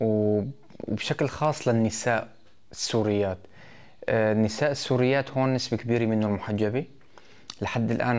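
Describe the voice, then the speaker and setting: Fairly even intonation runs through this man's speech. He goes at a fairly slow pace. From Syria, Idlib province (Maarat al-Numan); Idlib province, Syria. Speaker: local election candidate; election candidate. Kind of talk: interview statement. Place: office. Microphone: lapel.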